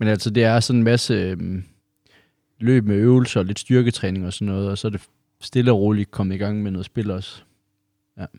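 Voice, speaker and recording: Speaking at a fairly quick pace, a man has a fairly low pitch and a dark, mellow tone with fairly even intonation. The recording is very clean and the background silent. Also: dry, close sound with no echo. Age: 30s. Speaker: amateur footballer and doctor. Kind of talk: casual chat.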